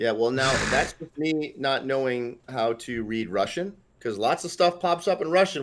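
With an American accent, a man of medium pitch speaks at a fairly quick pace with lively intonation in an unremarkable speaking voice. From Northeast United States. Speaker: competitive gamer and streamer. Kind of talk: casual interview.

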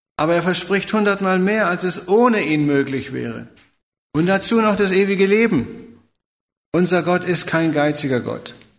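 Audible room echo surrounds a man speaking in a high voice at a moderate pace. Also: ordinary pitch variation. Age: 70s. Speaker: preacher. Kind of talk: sermon.

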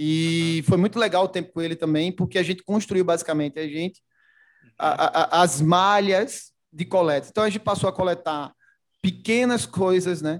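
A man's high-pitched voice with fairly even intonation on a very clean recording with a silent background. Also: moderate pace. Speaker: logistics executive. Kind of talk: casual interview.

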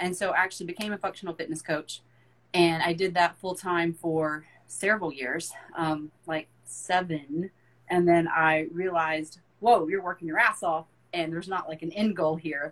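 At a moderate pace, a woman with a normal speaking voice talks with fairly even intonation. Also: fairly low pitch for a woman. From US South, rural. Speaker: fitness and mindset coach. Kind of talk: casual interview chat.

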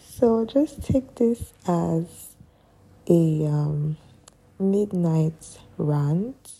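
A soft-spoken woman talks at a very slow pace, with long, frequent pauses. Her fairly low voice carries lively intonation. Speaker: podcaster. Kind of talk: casual monologue. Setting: at home late at night. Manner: quiet, soft-spoken.

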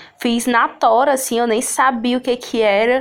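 Noticeable background noise is present. Over it, a woman talks fairly slowly. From Sobral, Ceará, Brazil. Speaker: actress, poet and cultural producer. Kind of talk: casual interview.

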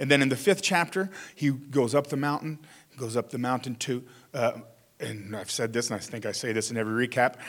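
A man's plain, everyday voice at a fairly quick pace, with ordinary pitch variation. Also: medium pitch for a man. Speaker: pastor. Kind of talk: sermon. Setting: church.

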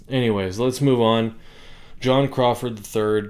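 A man speaks with an American accent. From US West, Bishop, California. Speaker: podcast host. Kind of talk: solo commentary monologue.

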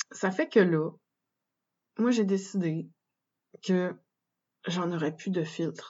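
A woman with a Quebec accent speaks at a medium pitch in a somewhat breathy voice. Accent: Québécois French. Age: 30s. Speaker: podcast host and birth doula trainee. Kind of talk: solo monologue. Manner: hesitant, many fillers.

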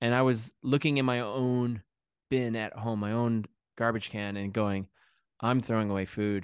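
An American-accented man speaks with fairly even intonation over a quiet background. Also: medium pitch for a man, moderate pace, dry, close sound with no echo. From Connecticut, US. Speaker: chef and cookbook author. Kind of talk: casual interview chat. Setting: remote call from England.

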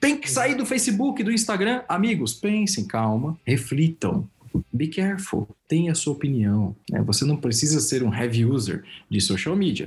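Vocal fry runs through this man's fairly high voice. He keeps a moderate pace while his pitch swings very widely. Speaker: consultant and professor. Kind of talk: interview.

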